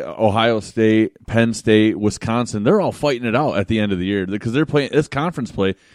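A man with an American accent talks at a moderate pace and medium pitch, with ordinary pitch variation, an unremarkable speaking voice and a quiet background. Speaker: podcast co-host. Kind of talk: casual banter. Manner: profane, joking.

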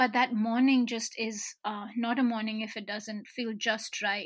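At a moderate pace, a woman talks with fairly even intonation and a fairly high pitch. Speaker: novelist. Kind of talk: casual interview.

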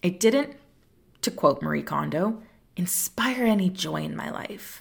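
On a very clean recording with a silent background, a woman with a warm tone and vocal fry speaks at a moderate pace. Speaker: tarot podcast host. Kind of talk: solo podcast monologue. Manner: warm, conversational.

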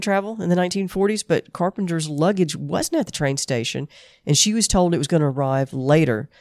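In a dry, close sound with no echo, a woman talks very fast with lively intonation and a Southern US accent. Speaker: podcast co-host. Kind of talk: casual chat, presenting case research.

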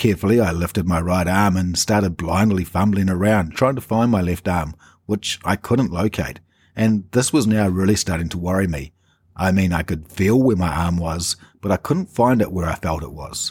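A man with a New Zealand accent and a very deep, low pitch speaks with ordinary pitch variation in a very clean recording with a silent background. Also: moderate pace. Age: 40s. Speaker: podcaster sharing personal chronic pain story. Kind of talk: personal narration.

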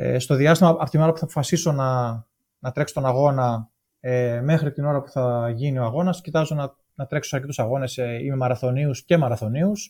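A man's fairly high, dark and mellow voice, somewhat breathy, at a fairly quick pace with ordinary pitch variation, in a very clean recording with a silent background. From Greece, Thessaloniki. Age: 40s. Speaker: amateur ultramarathon runner. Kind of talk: casual interview chat. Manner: halting, many hesitations.

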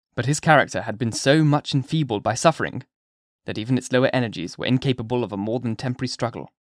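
Ordinary pitch variation in an unforced reading voice, with quiet all around

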